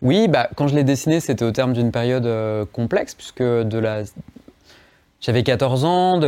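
Speaking at a moderate pace, a man uses a medium pitch, ordinary pitch variation and a dark, mellow tone. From Savoie, France (Chambéry). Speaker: comics author and illustrator. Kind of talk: interview.

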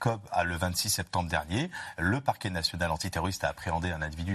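A man with a very deep, low voice speaks very fast and somewhat breathily over a quiet background. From France, grew up in housing estates. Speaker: security expert, doctor of public law. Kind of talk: live TV panel discussion.

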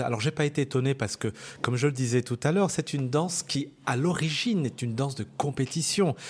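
This man's pitch is fairly high, with ordinary variation. He speaks at a fairly quick pace in a somewhat breathy voice. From France, Lyon area (Bron). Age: 40s. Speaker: dancer and choreographer. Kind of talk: interview. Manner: hesitant, repeats words.

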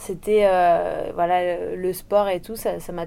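Monotone, flat intonation in a dark, mellow female voice of medium pitch. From Réunion. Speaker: professional surfer. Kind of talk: interview.

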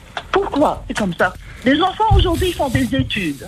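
Over music in the background, a woman talks at a fairly slow pace with very wide pitch swings. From Tuamotu, French Polynesia. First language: Tahitian (speaking French). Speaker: caller. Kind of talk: call-in.

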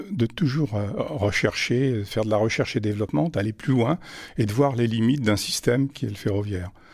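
A man speaks at a moderate pace. His voice is somewhat breathy, with ordinary pitch variation. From France, Auvergne (Vichy). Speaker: retired railway traction chief. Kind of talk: interview testimony. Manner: halting, repeats words.

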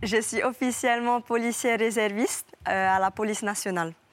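In a very clean recording against a silent background, a woman with a plain, everyday voice speaks at a fairly slow pace, her fairly high pitch held in fairly even intonation. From French Polynesia. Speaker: professional surfer. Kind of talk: TV interview.

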